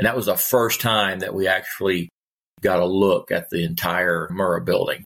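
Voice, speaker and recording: A man with an American accent speaks at a moderate pace. The recording is very clean, with a silent background. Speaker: retired firefighter. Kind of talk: interview, personal testimony. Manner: casual, halting with fillers.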